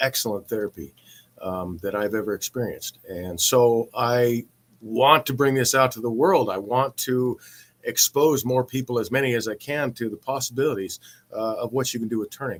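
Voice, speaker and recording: A man with a medium-pitched voice speaks at a moderate pace with ordinary pitch variation, in a dry, close sound with no echo. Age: 50s. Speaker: woodturner and streamer. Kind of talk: casual live stream talk. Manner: halting, many fillers and repeats.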